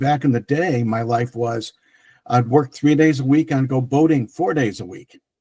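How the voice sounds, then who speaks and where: The man's dark, mellow tone comes through somewhat breathy. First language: French. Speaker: tech entrepreneur. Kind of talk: interview. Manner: halting, many fillers.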